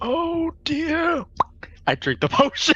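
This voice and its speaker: This put-on character voice is high-pitched and squeaky. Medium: actual play. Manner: grumpy, old-fashioned exclamations.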